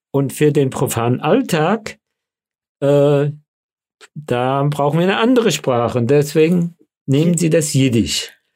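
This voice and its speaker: A man with a slight Hessian accent speaks fairly slowly at a fairly high pitch, showing ordinary pitch variation and long, frequent pauses. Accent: slight Hessian colouring. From Frankfurt, Hesse (childhood in DP camp near Munich). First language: Yiddish (speaking German). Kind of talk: interview. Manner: hesitant with fillers.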